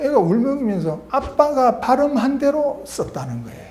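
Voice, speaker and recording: A man speaks at a fairly slow pace, his pitch swinging very widely. Noticeable background noise and audible room echo surround him. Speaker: retired medical professor and author. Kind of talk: talk / lecture-style monologue. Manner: halting, many fillers.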